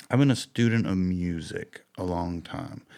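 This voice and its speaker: The recording is very clean, with a silent background. A man speaks with a very deep, low pitch and ordinary pitch variation. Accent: Southern US. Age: 40s. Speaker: musician. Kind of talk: interview. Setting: in his fly shop.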